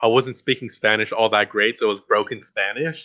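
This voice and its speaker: Over a quiet background, a man with a Mexican accent speaks at a medium pitch in a bright, sharp tone. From Guatemala, raised in Texas. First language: Mayan. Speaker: interview guest. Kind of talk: casual interview chat. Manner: hesitant, many fillers.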